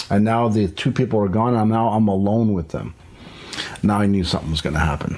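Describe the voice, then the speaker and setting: Noticeable background noise sits behind a man speaking very fast. His pitch is fairly low, with ordinary variation. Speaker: podcast host. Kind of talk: casual chat.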